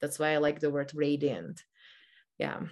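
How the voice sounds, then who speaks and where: A woman's very deep, low voice in a Czech accent, at a moderate pace against a quiet background. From Czech Republic. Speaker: meditation teacher. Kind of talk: casual chat. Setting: video call.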